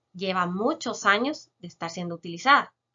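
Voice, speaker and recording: Here a woman talks. Her surroundings are quiet. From Guatemala, San Marcos; Guatemala. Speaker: chemist biologist. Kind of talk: educational Q&A explanation. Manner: frequent filler hesitations. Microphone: webcam.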